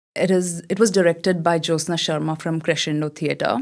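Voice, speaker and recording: In a very clean recording with a silent background, a woman with an Indian accent speaks at a fairly low pitch with monotone, flat intonation. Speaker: model and theatre actor. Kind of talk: podcast interview.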